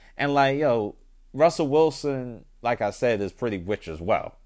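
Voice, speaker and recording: A man's normal speaking voice at a moderate pace, with lively intonation, on a very clean recording with a silent background. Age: 30s. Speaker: podcast host. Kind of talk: casual monologue. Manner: casual, filler-heavy.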